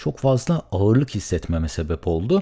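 Over a silent background on a very clean recording, a man with a dark, mellow tone sounds somewhat breathy and swings his pitch very widely. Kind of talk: solo podcast monologue. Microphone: studio condenser mic with pop filter.

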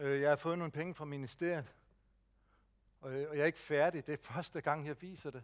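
With a quiet background, a man speaks in fairly even intonation, leaving long, frequent pauses. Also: big swings in loudness. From Jutland, Denmark; Denmark. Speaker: speech technology advisor; presenter. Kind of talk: lecture. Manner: slow. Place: hall.

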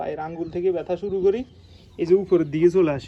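Speaking with a high pitch, a man has a dark, mellow tone. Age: 20s. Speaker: village vlogger. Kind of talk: casual vlog monologue. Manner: halting.

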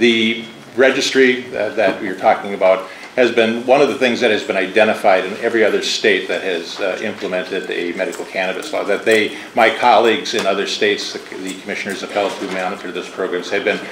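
Audible room echo and light background noise surround a man speaking at a fairly quick pace in a fairly low pitch. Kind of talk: formal testimony. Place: hall. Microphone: podium.

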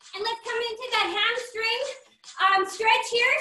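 Over faint background music and audible room echo, a woman uses a raised, projected voice at a fairly slow pace with fairly even intonation. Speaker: fitness trainer. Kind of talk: workout instruction. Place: gym. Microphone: video call.

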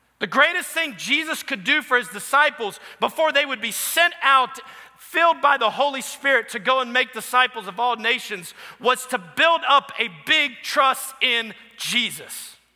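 A raised, projected male voice at an extremely high pitch with an American accent and ordinary pitch variation, over a quiet background. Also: moderate pace. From New Orleans, US. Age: 30s. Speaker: pastor. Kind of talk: sermon. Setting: church. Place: church. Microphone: headset.

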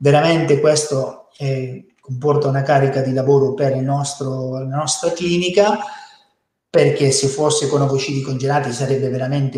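In a room with audible echo and a quiet background, a man speaks with a Spanish accent. His pitch is fairly high, his intonation fairly even, and his pace moderate. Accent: Spanish-accented Italian. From Spain. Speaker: fertility doctor. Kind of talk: webinar presentation. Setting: online webinar. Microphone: webcam.

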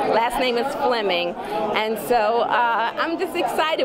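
A woman's voice against loud background noise. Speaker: film producer and actor. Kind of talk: red carpet interview. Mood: excited, upbeat. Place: hall.

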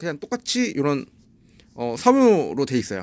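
A man speaking at a fairly slow pace. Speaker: audio gear reviewer, music producer; audio gear reviewer. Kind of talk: product review. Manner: halting, stumbling. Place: studio. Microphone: phone near.

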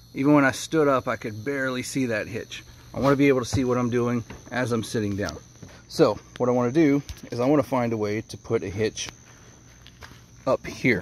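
A man's voice with ordinary pitch variation, a dry sound with no echo and light background noise. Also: fairly quick pace. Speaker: tractor owner doing a DIY project. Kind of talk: casual vlog chat. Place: open country. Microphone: phone near.

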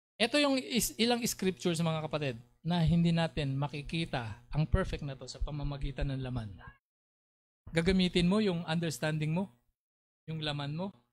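This man's pitch is fairly high. He talks at a moderate speed with lively intonation. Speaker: preacher. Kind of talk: sermon. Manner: animated.

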